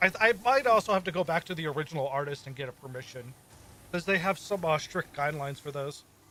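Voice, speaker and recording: Mumbling at a very fast pace, a man with a fairly high pitch and a bright, sharp tone shows ordinary pitch variation and big swings in loudness. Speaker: streamer. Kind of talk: casual chat. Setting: live stream.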